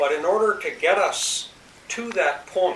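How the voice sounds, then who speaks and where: Fairly slow speech from a man, with noticeable noise behind it. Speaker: interviewer. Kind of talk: interview questions.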